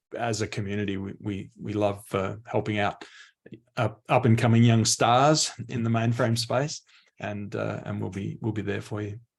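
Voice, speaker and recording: A man with an Australian accent speaks at a moderate pace in a fairly low, somewhat breathy voice with fairly even intonation, against a quiet background. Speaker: mainframe industry expert. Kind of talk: panel discussion.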